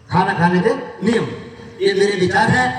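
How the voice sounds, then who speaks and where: A man speaks with a high pitch for a man. Noticeable background noise and audible room echo are in the recording. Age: 60s. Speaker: yoga teacher. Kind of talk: talk to school pupils. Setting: school assembly.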